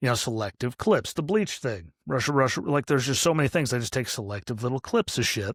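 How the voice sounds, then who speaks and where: Speaking at a very fast pace, a man talks with an American accent. The recording is very clean and dry, close with no echo, over a silent background. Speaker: podcast host. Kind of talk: casual commentary monologue. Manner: lots of filler words.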